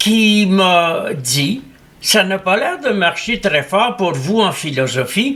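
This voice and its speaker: With a bright, sharp tone and lively intonation, a man speaks high for his sex at a very slow pace. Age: 80s+. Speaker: philosopher. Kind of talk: interview. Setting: at his home.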